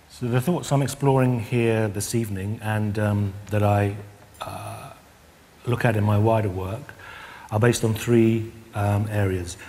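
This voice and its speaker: A man with a British accent speaks in a fairly low pitch, his intonation fairly even. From UK. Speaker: Roma artist and researcher. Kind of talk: lecture. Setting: stage with audience. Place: stage.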